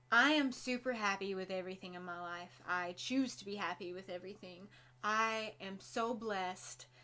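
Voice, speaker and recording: Speaking at a moderate pace with an American accent, a woman has a medium pitch, a bright, sharp tone, ordinary pitch variation and big swings in loudness. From Kentucky. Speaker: vlogger. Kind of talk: casual vlog chat. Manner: stumbles over words.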